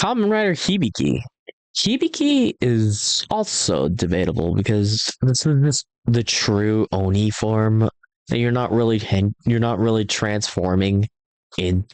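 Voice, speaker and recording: Moving at a fairly slow pace, a man speaks at a medium pitch with ordinary pitch variation. His loudness stays very even, and the sound is dry and close with no echo. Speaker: YouTuber ranking tokusatsu suits. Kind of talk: casual tier list commentary. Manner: animated.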